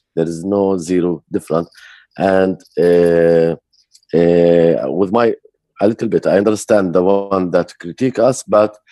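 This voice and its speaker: In an Arabic accent, a man speaks at a fairly slow pace with a very deep, low pitch, fairly even intonation and a dark, mellow tone, in a dry, close sound with no echo. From Jerusalem area, Palestinian. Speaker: peace activist, organization director. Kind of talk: interview.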